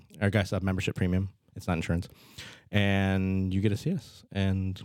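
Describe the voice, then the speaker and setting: Speaking in a very deep, low voice, a man with a Midwestern American accent talks at a fairly quick pace. The recording is very clean, with a silent background. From Nebraska, Fremont. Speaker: physician and clinic owner. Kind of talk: casual interview.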